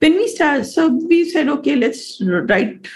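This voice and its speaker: Her voice somewhat breathy, a woman talks with very wide pitch swings. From India. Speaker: economist. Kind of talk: interview.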